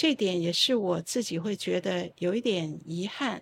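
Lively intonation and vocal fry mark this woman's voice. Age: 60s. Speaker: opera playwright and professor. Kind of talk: casual chat. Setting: live stream with studio audience.

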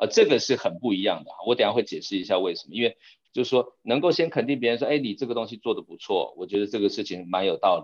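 Very fast pacing with big swings in loudness. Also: man. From Taiwan. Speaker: corporate strategy executive. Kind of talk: interview.

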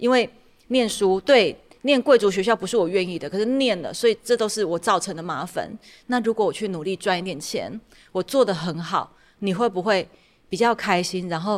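A woman uses an ordinary speaking voice at a moderate pace, her medium pitch showing ordinary pitch variation. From Taiwan, Tainan. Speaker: podcast host and startup consultant. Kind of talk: casual interview chat.

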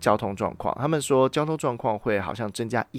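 With music in the background, the speaker talks at a fairly quick pace in an animated tone, the pitch swinging very widely. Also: man. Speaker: podcast host. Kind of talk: casual solo chat. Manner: talkative, animated.

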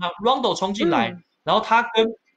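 A man speaks at a fairly quick pace. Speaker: sports news anchor. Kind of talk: casual chat. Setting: live stream.

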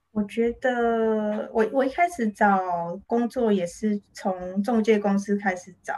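Speaking at a very slow pace, a woman with a Taiwanese accent has a fairly high pitch and ordinary pitch variation. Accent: Taiwanese Mandarin. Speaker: illustrator and author. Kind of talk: interview.

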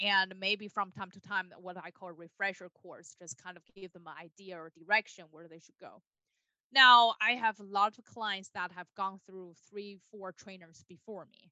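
A woman with a Chinese accent talks at a moderate pace with fairly even intonation and big swings in loudness. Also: medium pitch for a woman. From China, Beijing. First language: Mandarin Chinese. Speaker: dog trainer. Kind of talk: interview.

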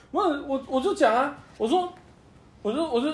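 At a moderate pace, the voice rises and falls in very wide pitch swings. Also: man. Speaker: podcast co-host. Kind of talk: casual chat.

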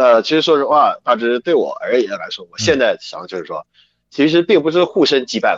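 A man speaks at a fairly quick pace in a dry, close recording with no echo. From China. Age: 20s. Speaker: professional wrestler. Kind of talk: interview.

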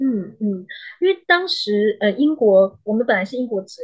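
A woman's fairly high pitch, lively intonation and big swings in loudness at a moderate pace. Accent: slight Malaysian. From Malaysia. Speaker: psychologist. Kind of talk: interview. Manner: halting.

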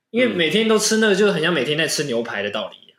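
The speech comes very fast with lively intonation, and room echo is audible. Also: man. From Penghu, Taiwan. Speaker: podcast host. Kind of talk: casual chat.

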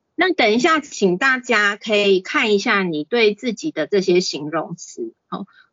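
Speaking with a Taiwanese accent, a woman barely pauses at all. Her pitch swings very widely. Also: medium pitch for a woman, fairly slow pace. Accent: Taiwanese Mandarin. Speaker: clinical psychologist giving a parenting talk. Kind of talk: lecture. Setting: online class on video call. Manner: frequent fillers and hesitations.

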